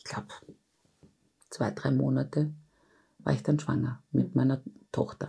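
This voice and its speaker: A woman's dark, mellow tone with vocal fry, at a moderate pace. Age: 40s. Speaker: intensive care nurse and bereaved mother. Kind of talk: interview testimony.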